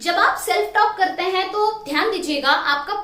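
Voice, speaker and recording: A woman speaks with lively intonation. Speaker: motivational trainer. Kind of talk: motivational talk to camera.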